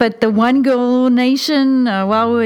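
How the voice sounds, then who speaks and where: There is noticeable background noise behind the speaker. She is a woman with a fairly high pitch. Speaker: teacher. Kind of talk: casual chat.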